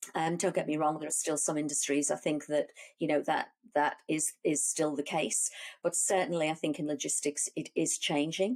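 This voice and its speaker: The woman talking has a very deep, low pitch. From Liverpool, England. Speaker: business executive. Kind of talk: interview. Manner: hesitant, many fillers and restarts.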